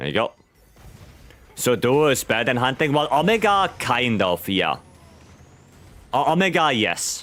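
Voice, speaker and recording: Speaking with a German accent, a man keeps a medium pitch that swings very widely, with vocal fry. His pace is fairly slow, broken by long, frequent pauses. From Germany. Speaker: video game streamer. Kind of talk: live gameplay stream chat. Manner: halting, repeats words.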